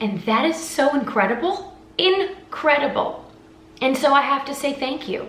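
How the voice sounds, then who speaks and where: With audible room echo and noticeable background noise, a woman talks at a moderate pace and swings very widely in pitch. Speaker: singer and vlogger. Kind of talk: emotional vlog monologue. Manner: halting, stuttering.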